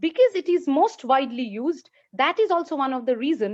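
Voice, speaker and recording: Against a quiet background, a woman with a Bengali accent speaks at a moderate pace with very wide pitch swings. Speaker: lecturer. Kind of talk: lecture. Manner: halting.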